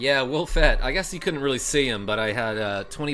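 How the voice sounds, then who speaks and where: Music runs in the background while a man speaks at a moderate pace. Audible room echo surrounds his voice. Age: 30s. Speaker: gaming streamer. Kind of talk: live stream chat. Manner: animated.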